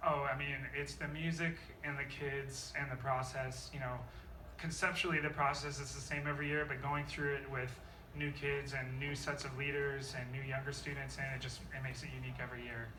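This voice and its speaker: A man talks at a fairly quick pace in a fairly high, monotone voice with flat intonation. The room echo is audible, and background noise is noticeable. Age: young. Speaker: high school jazz band director. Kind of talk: interview.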